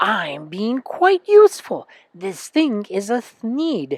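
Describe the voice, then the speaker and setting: A nasal put-on character voice at a very slow pace, with very wide pitch swings. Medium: read story.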